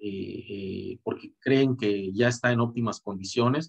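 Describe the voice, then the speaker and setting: A man at medium pitch, with fairly even intonation and a fairly slow pace, in a dry, close sound with no echo. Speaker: boxing commentator. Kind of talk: video commentary monologue. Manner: halting, many repetitions and fillers.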